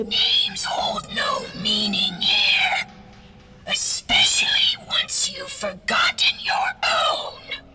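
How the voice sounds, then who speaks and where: A man uses a raspy put-on character voice at an extremely high pitch. He talks at a very slow pace over clear background noise. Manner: hissing.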